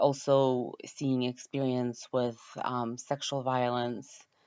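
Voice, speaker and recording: A woman with a Ukrainian accent, very deep and low in pitch, monotone and flat, speaking at a very slow pace. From Ukraine. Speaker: university student. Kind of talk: class introduction video. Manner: hesitant, many filler words.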